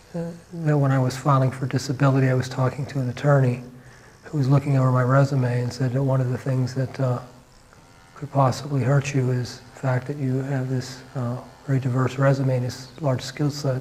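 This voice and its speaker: Over noticeable background noise, a man at medium pitch speaks at a fairly quick pace in a monotone with flat intonation. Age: 40s. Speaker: artist with Parkinson's disease. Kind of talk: documentary interview. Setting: home studio. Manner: halting.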